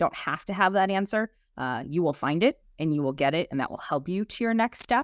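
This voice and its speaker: A woman talks at a fairly quick pace in a Boston accent, her pitch fairly low and swinging very widely. The recording is very clean, with a silent background. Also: dry, close sound with no echo. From Boston, South Boston. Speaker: HR executive. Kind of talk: podcast interview.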